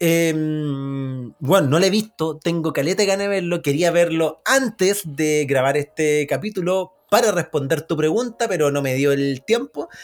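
A man with a Chilean accent talks at a fairly slow pace with hardly any pauses. His pitch is fairly high, with ordinary variation. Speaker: podcast host. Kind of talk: casual chat. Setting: remote recording from separate cities.

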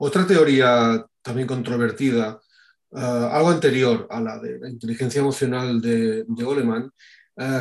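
A man talks at a very slow pace. His pitch is medium. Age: 40s. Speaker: podcast host. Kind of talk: interview. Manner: hesitant with many fillers.

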